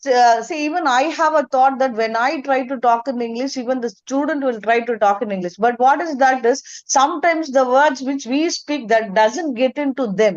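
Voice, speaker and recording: With hardly any pauses, a high-pitched woman talks at a moderate pace with ordinary pitch variation. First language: Tamil. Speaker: teacher. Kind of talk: question in webinar. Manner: halting.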